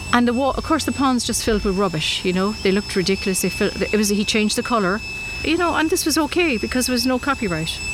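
A woman's fairly high voice at a very fast pace, with very wide pitch swings, very even loudness and noticeable background noise. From Ireland (born Derry, raised Cork from about 10). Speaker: sculptor. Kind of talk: interview. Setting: outdoors.

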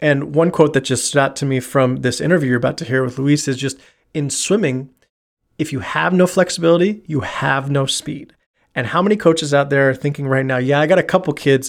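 With an ordinary speaking voice and a fairly high pitch, a man speaks with ordinary pitch variation on a very clean recording with a silent background. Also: fairly quick pace. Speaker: podcast host and dryland coach. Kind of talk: podcast intro and interview.

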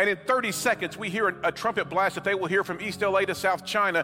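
A man with a high pitch talks at a very fast pace in a raised, projected voice, his intonation monotone and flat, against noticeable background noise. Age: 50s. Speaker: guest preacher. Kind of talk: sermon.

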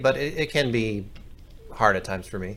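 A man's voice with audible room echo. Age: 30s. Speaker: podcast producer. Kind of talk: casual chat.

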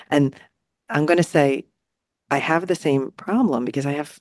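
The sound is dry and close with no echo, over a quiet background. The speaker has a New Jersey accent and ordinary pitch variation. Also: woman. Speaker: podcast co-host. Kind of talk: casual chat.

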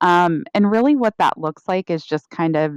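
The sound is close and dry, without any echo. A woman talks fairly slowly. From Florida, Tampa Bay area. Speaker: change manager. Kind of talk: casual interview. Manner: soft-spoken.

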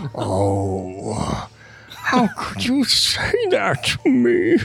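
Put-on character voice, delivered at a very slow pace. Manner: indignant.

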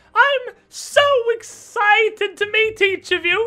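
A put-on character voice pitched extremely high speaks at a fairly slow pace. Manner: excited, theatrical.

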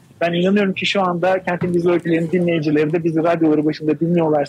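Monotone, flat intonation marks this man's high-pitched voice. He speaks at a very fast pace. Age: 40s. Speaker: radio programmer. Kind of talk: live radio interview.

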